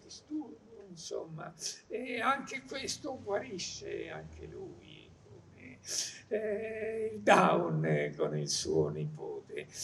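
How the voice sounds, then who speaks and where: A man speaks at a very slow pace. Background noise is noticeable. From Marche, Italy. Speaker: journalist and essayist. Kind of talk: public talk. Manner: halting.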